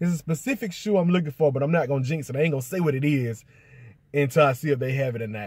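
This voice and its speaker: A man speaks in a somewhat breathy voice with ordinary pitch variation. The background is quiet and the sound is dry with no echo. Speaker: sneaker vlogger. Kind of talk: casual vlog chat. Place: car. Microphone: phone near.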